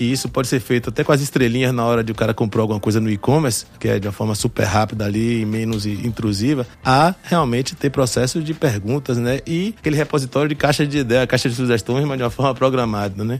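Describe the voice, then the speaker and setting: With hardly any pauses, a man talks at a very fast pace. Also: medium pitch for a man, ordinary pitch variation. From born in France, childhood in New York, moved to Brazil at 11. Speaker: startup founder and investor. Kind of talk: casual podcast interview.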